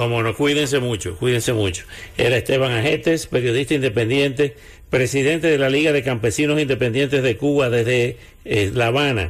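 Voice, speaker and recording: At a fairly quick pace, a man speaks in a medium pitch, somewhat breathy, with very even loudness throughout. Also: ordinary pitch variation. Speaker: radio host. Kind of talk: live radio news and weather bulletin. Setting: radio studio. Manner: brisk, conversational, rattling off weather figures.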